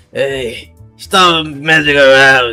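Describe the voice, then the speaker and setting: A man puts on a raspy character voice with a fairly high pitch and fairly even intonation, faint music in the background. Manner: scolding.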